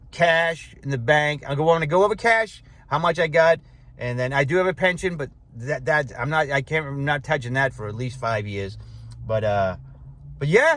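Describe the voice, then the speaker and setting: A man's fairly high voice, full of very wide pitch swings. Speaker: retiree vlogger. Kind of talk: casual vlog. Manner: fast; halting, many fillers.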